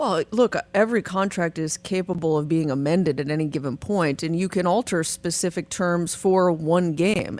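A woman talks at a moderate pace in a fairly low pitch, with ordinary pitch variation and a normal speaking voice. The recording is very clean, with a silent background. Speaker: attorney. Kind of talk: legal commentary on sports news.

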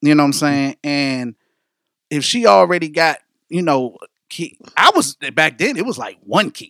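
Speaking at a moderate pace with lively intonation, a man with a fairly high voice comes through a dry, close sound with no echo on a very clean recording with a silent background. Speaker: podcast host. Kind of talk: casual banter podcast chat. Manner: casual, laughing, slangy.

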